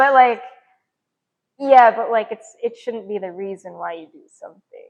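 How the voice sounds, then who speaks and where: A woman with an ordinary speaking voice talks at a fairly high pitch with ordinary pitch variation. Her loudness swings widely. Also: moderate pace. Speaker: podcast host. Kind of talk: casual chat.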